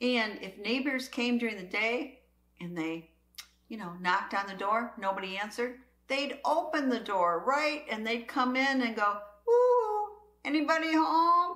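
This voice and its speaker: With an American accent, a woman speaks in a high pitch at a fairly slow pace. Her pitch swings very widely, and the room echo is audible. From US Midwest. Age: 60s. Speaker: prepping channel host. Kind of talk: casual monologue.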